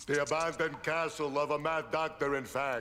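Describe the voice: Doing a cartoonish character voice, a man speaks at a moderate pace with a fairly high pitch and monotone, flat intonation.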